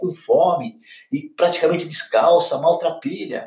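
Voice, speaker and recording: A man with a Brazilian accent and a high-pitched voice. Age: 50s. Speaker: financial educator. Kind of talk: solo podcast commentary.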